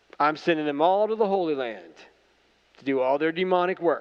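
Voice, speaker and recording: A man speaks with an American accent at a moderate pace. His pitch is fairly high. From Ohio, US Midwest. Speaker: pastor. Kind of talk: sermon. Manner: casual, conversational with fillers.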